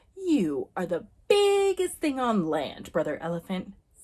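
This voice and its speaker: A woman uses a gruff, put-on character voice at a fairly high pitch. She speaks at a moderate pace. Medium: read story. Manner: gruff, grunting.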